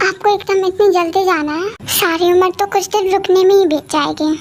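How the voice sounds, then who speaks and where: A woman puts on a character voice at an extremely high pitch with fairly even intonation. She speaks at a fairly quick pace. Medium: audio drama.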